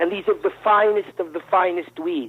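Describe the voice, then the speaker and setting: A man in a New York accent speaks at a moderate pace with fairly even intonation. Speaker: caller. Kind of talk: phone-in call.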